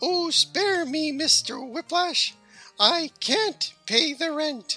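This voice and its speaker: A man's shrill, put-on character voice at an extremely high pitch and a very slow pace, with faint music in the background. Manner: melodramatic, pleading.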